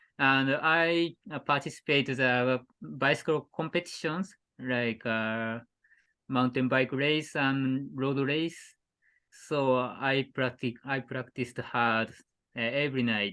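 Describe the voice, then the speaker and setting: Against a quiet background, a man with a Japanese accent talks very slowly in a bright, sharp tone at medium pitch with ordinary pitch variation. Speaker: cycling adventurer. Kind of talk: casual interview. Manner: halting.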